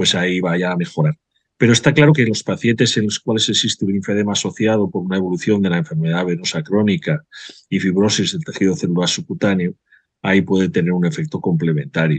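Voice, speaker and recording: Over a quiet background, a man talks at a very fast pace with lively intonation and a fairly low pitch, the sound dry with no echo. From Spain. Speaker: vascular surgeon, webinar moderator; webinar moderator. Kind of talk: webinar moderation. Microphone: webcam.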